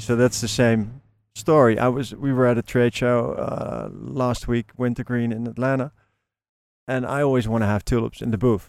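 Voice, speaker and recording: In a very clean recording with a silent background, a man with a Dutch accent and a medium pitch speaks at a moderate pace in a monotone, flat intonation. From Netherlands. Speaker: flower bulb grower and seller. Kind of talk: interview. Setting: outdoors. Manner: hesitant, many fillers.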